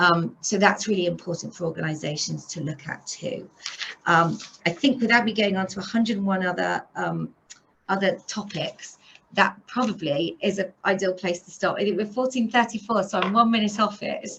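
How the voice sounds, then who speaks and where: A woman speaks at a medium pitch with ordinary pitch variation. Her loudness swings widely. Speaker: police officer. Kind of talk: presentation. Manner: fast.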